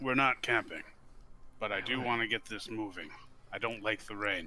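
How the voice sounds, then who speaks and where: A raspy, put-on character voice with fairly even intonation. Background noise is clearly audible. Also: man, medium pitch for a man, moderate pace. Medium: actual play.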